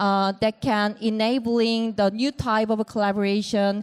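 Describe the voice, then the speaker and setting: Speech in a Korean accent comes at a fairly slow pace on a very clean recording with a silent background. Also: woman. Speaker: panel moderator. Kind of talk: panel discussion moderation. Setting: stage with audience at event.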